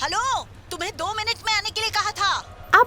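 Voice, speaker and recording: A female-sounding put-on character voice is extremely high in pitch. It moves at a moderate pace over clear background noise. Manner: shouting, scolding.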